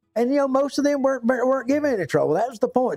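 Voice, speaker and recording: Music runs in the background. Over it, a man talks very fast. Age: 60s. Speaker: YouTube livestreamer, DIY fixer. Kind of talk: casual chat. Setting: workshop livestream. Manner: halting.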